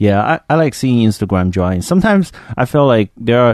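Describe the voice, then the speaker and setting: Against a quiet background, a man with a Chinese accent speaks at a fairly quick pace with ordinary pitch variation. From China. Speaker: artist, podcast co-host. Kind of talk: casual chat.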